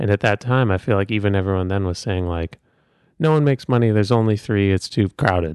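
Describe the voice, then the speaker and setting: Speaking at a very fast pace, a man with a fairly low pitch sounds dry and close with no echo against a quiet background. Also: ordinary pitch variation. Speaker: co-host, husband of the host. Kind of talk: casual chat.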